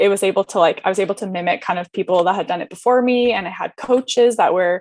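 A woman talks at a fairly quick pace with ordinary pitch variation in a dry sound with no echo. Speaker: podcast guest. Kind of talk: interview answer. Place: home room. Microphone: video call.

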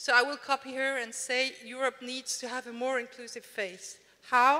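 A woman's raised, projected voice holds a monotone, flat intonation at a moderate pace. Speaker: panel moderator. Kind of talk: moderator introduction. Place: hall. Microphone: handheld.

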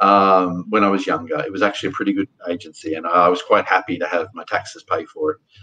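Speaking with an Australian accent, a man talks at a very fast pace. He takes hardly any pauses. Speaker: podcast host. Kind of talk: casual discussion of news. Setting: video call. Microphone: webcam.

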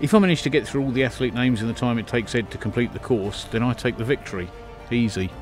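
Over music in the background, a man speaks at a very fast pace and medium pitch with ordinary pitch variation. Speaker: record-holding fast talker. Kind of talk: promotional presenter talk.

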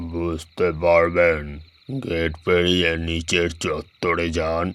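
A man's put-on character voice, very deep and low in pitch, monotone and flat, at a very slow pace. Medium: read story. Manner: drowsy, cryptic, unhurried.

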